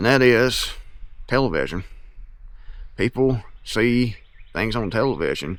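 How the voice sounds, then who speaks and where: A man's medium-pitched voice with vocal fry and an Appalachian accent. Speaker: YouTuber and author on self-reliance. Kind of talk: casual monologue to camera.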